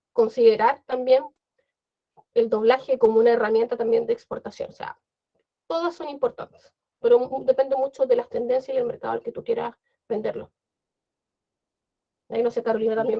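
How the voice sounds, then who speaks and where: A woman is speaking. Her pace is fairly quick. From Chile. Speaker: translator. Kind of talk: panel discussion. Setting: video call.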